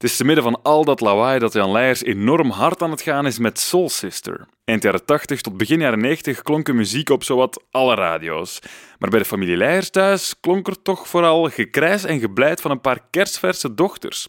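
A man with a fairly high pitch speaks at a moderate pace with very wide pitch swings, his voice dry and close with no echo in a very clean recording with a silent background. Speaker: radio podcast host. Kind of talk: scripted narration with interview. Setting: garden table at guest's home.

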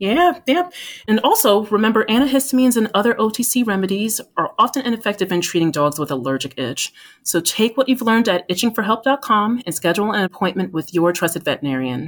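Very fast and with an American accent, a woman talks at a fairly high pitch with very wide pitch swings and vocal fry. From US Northeast, New Jersey. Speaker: veterinarian, pharma medical lead. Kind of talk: podcast interview.

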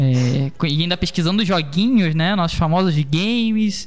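Music in the background behind a man's high-pitched voice at a moderate pace, with ordinary pitch variation. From Rio de Janeiro, Brazil. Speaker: podcast host. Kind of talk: casual interview.

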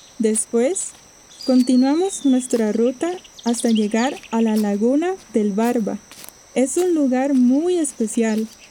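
A woman speaks at a high pitch with ordinary pitch variation and a very slow pace. Noticeable background noise sits behind her. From Costa Rica. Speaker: storyteller sharing a personal travel story. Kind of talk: scripted narration.

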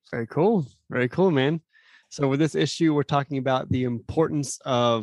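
A man with an American accent and a normal speaking voice at a moderate pace with ordinary pitch variation, in a dry, close sound with no echo and a quiet background. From Phoenix, Arizona. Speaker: podcast host, youth minister. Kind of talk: casual interview.

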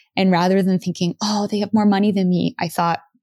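On a very clean recording with a silent background, a woman with a plain, everyday voice speaks at a fairly low pitch with fairly even intonation. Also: dry, close sound with no echo. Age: 30s. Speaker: podcast host, former music industry worker. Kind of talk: solo monologue. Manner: casual, filler-heavy.

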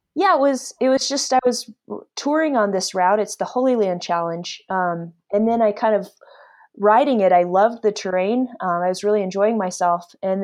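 Fairly quick and set against a quiet background, a woman with an American accent speaks at a medium pitch with ordinary pitch variation in an unremarkable speaking voice. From Alaska. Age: 30s. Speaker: endurance cyclist. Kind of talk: interview.

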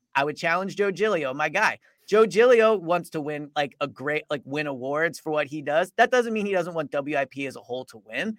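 With an ordinary speaking voice, a man talks at a fairly high pitch with lively intonation, big swings in loudness and hardly any pauses, in a very clean, dry, close recording with no echo and a silent background. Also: moderate pace. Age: 30s. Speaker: sports podcast co-host. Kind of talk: casual chat.

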